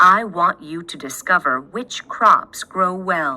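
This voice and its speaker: A put-on character voice moves at a fairly slow pace with lively intonation. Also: woman, medium pitch for a woman. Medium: read story.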